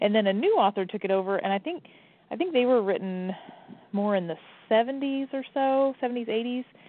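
A woman with an American accent and an ordinary speaking voice talks at a moderate pace, fairly high in pitch, with lively intonation. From Indiana, Evansville area. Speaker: mystery author. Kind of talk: radio interview.

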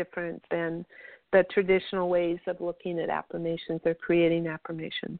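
The speaker is a woman. Her pitch sits fairly low. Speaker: radio host and spiritual practitioner. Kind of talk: radio interview.

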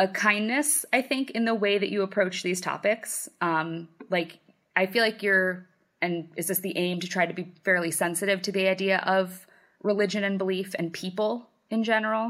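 This is a woman with an ordinary speaking voice, a medium pitch and ordinary pitch variation. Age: 30s. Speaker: podcast co-host and parent. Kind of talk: casual chat.

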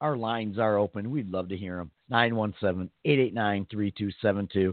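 A man's voice, fairly low in pitch. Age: 40s. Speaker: podcast co-host. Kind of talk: casual banter, comedic chat. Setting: live internet radio show.

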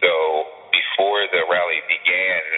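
A man speaks against noticeable background noise. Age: 20s. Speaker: university student recounting a rally incident. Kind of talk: interview testimony.

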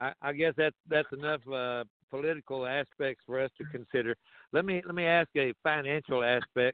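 With an American accent, a man talks in an ordinary speaking voice at medium pitch, moderate pace and fairly even intonation. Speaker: caller. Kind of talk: call-in question. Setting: phone call.

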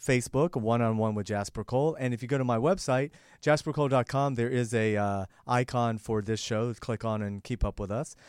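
In a normal speaking voice, a man talks fairly quickly at medium pitch with ordinary pitch variation. The recording is very clean with a silent background and a dry, close sound with no echo. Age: 50s. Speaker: talk show host and actor. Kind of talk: talk show interview. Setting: studio.

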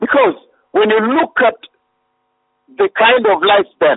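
A man speaks at a moderate pace with an extremely high pitch. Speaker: preacher. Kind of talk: sermon.

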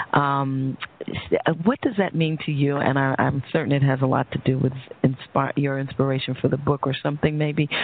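With an American accent and a very deep, low voice, a woman speaks at a moderate pace over noticeable background noise. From New York. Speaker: radio host and psychologist. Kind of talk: interview on talk radio. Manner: halting.

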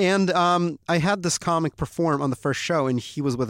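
With an American accent and lively intonation, a man speaks at a moderate pace in an ordinary speaking voice, on a very clean recording with a silent background and a dry, close sound with no echo. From Ukraine, raised in the US from age five. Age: 20s. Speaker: comedy writer. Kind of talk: casual chat. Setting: studio.

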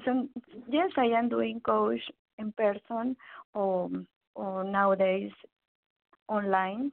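A woman with a Mexican accent speaks at medium pitch with ordinary pitch variation, very slowly and with long, frequent pauses. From Mexico (Veracruz). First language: Spanish. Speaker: psychologist and life coach. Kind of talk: interview. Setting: phone call.

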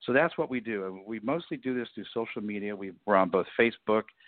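Pitched fairly low, a man with an American accent uses an ordinary speaking voice and ordinary pitch variation. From Miami, Florida. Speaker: presidential historian. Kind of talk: interview. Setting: phone call.

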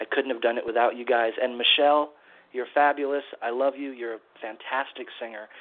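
A man's normal speaking voice at a moderate pace, with big swings in loudness and fairly even intonation. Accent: American. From California, San Diego. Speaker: singer-songwriter. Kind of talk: interview.

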